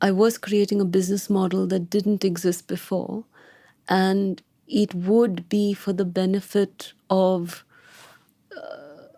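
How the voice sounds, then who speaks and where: A woman's very slow, medium-pitched voice with a dark, mellow tone and monotone, flat intonation, on a very clean recording with a silent background. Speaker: founder of wealth advisory firm. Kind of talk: interview. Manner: soft-spoken; deliberate.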